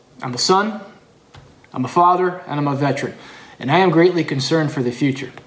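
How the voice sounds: In an American accent, a man with a fairly high pitch talks at a moderate pace with ordinary pitch variation, with audible room echo around him.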